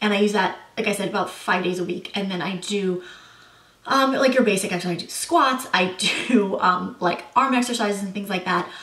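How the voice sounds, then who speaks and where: The speaker moves at a fairly quick pace with ordinary pitch variation. Room echo is audible, and there is noticeable background noise. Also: woman, medium pitch for a woman. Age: 30s. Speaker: beauty and lifestyle vlogger. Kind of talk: casual Q&A vlog. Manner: casual, many filler words.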